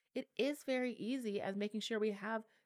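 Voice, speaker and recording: An ordinary speaking voice from a woman, fairly high in pitch with ordinary pitch variation, dry and close with no echo, on a very clean recording with a silent background. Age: 30s. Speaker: state legislator. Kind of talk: interview. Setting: studio.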